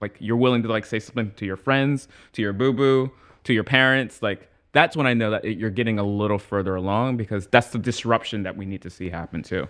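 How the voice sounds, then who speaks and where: Against a quiet background, a man with an American accent has an ordinary speaking voice, speaking at a fairly quick pace and medium pitch with ordinary pitch variation. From US Northeast, Trenton, New Jersey. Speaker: journalist. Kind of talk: casual chat.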